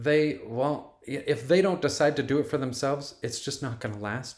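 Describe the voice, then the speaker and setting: Here a man talks in a normal speaking voice, pitched at medium. His pace is moderate and his pitch variation is ordinary. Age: 40s. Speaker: plant-based food developer. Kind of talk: interview.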